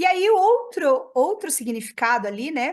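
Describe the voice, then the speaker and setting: A woman speaks with a southern Brazilian accent at a fairly slow pace. The background is quiet. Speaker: radiology professor. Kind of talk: lecture.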